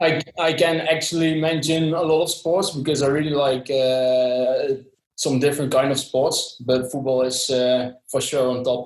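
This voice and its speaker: A man with a Dutch accent speaks at a fairly slow pace with hardly any pauses. His intonation is fairly even, and his loudness stays very even. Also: fairly high pitch for a man. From southern Netherlands. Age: 20s. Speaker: sports brand employee. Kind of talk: podcast interview. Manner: hesitant, many fillers.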